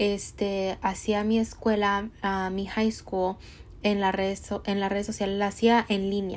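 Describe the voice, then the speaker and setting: Very slowly and in a monotone, flat intonation, a woman speaks on a very clean recording with a silent background. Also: medium pitch for a woman. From Mexico. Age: 20s. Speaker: podcast host and entrepreneur. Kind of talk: motivational monologue.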